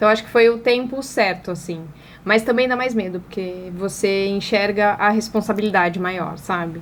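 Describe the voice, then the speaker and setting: Talking at a moderate pace, a woman with an ordinary speaking voice holds a medium pitch and ordinary pitch variation. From Brazil, Paraná. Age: 30s. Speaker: advertising agency owner and influencer. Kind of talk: interview conversation.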